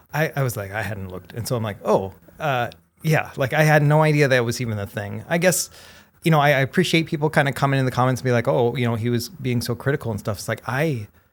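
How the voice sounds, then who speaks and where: At a very fast pace, a man of medium pitch talks with ordinary pitch variation in a very clean recording with a silent background. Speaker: handheld gaming video creator and podcast co-host. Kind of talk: casual chat. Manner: long-winded, unscripted.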